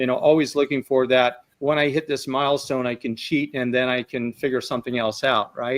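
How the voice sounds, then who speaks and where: Speaking at a fairly quick pace, a man with an American accent keeps a monotone, flat intonation at medium pitch. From England, Essex. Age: 60s. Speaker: carnivore diet follower, guest. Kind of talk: personal health testimony.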